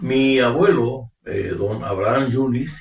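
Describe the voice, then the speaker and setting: Here a man speaks at a very slow pace. He has a medium pitch and a Paraguayan accent. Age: 80s+. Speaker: retired professor and former regional TV figure. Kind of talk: interview.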